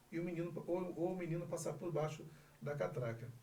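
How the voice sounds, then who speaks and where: In an ordinary speaking voice, a man with a fairly high pitch speaks at a moderate pace with fairly even intonation. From Northeast Brazil, Bahia. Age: 40s. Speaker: insurance broker and lawyer. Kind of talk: interview answer.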